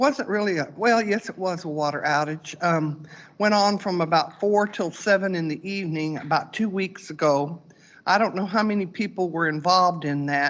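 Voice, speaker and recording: Against a quiet background, a woman with an unremarkable speaking voice talks at a moderate pace and fairly low pitch, with ordinary pitch variation. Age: 60s. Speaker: resident making public comment. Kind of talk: public comment at board meeting. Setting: board meeting room.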